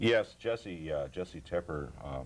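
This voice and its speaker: Noticeable background noise fills the recording. Through it, a man's voice comes across. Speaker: youth baseball announcer and volunteer. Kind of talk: TV interview.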